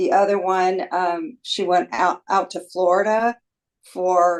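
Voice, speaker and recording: Intonation stays fairly even while the words come out at a very slow pace. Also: woman, medium pitch for a woman. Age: 70s. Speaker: defendant's mother. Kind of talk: court testimony. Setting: courtroom. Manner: halting.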